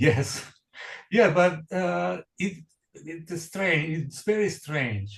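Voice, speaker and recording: A man speaks in a somewhat breathy voice. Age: 60s. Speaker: jazz pianist. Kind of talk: interview. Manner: halting, many repetitions and fillers.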